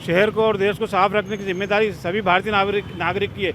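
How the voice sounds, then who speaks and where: Through noticeable background noise, a man with a high voice speaks at a moderate pace with monotone, flat intonation. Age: 60s. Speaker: cleanliness campaigner. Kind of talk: interview.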